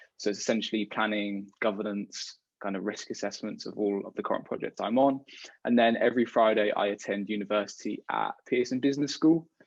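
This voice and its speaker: A man with a British accent talks at a fairly quick pace, his fairly low pitch held in fairly even intonation. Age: young. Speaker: degree apprentice. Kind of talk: casual interview. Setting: video call.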